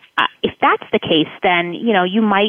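A woman with an American accent talks at a fairly quick pace. She has an unremarkable speaking voice with ordinary pitch variation. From South Florida. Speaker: college admissions counselor. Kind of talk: radio interview.

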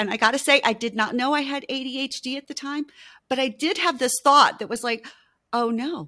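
In a very clean recording with a silent background, a woman projects a raised, bright, sharp voice at a high pitch, with ordinary pitch variation and a fairly quick pace. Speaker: intimacy coach and author. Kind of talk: interview.

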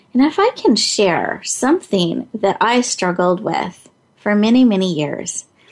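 Speaking at a fairly slow pace, a woman uses a medium pitch with big pitch swings.

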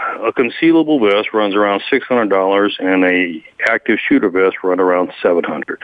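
A man with an American accent talks at a fairly quick pace with hardly any pauses. His fairly low voice has lively intonation over noticeable background noise. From Guadalajara, Mexico (returned to US as teen). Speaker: nonprofit founder, police advocate. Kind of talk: interview.

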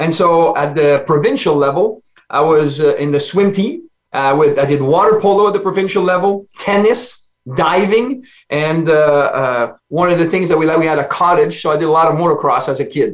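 With a French Canadian accent, a man speaks at a high pitch and a moderate pace, with ordinary pitch variation and very even loudness. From French Canada. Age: 60s. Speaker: life coach. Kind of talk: interview.

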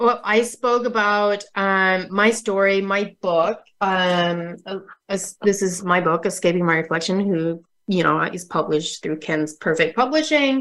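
Fairly slow and in an American accent, this is a plain, everyday voice with ordinary pitch variation. The background is quiet. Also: woman, medium pitch for a woman. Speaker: wellness and fitness coach, author. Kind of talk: interview.

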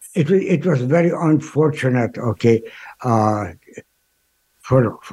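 Speaking at a fairly slow pace, a man with a medium-pitched, somewhat breathy voice uses lively intonation. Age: 80s+. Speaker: Holocaust educator and speaker. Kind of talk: interview. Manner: halting.

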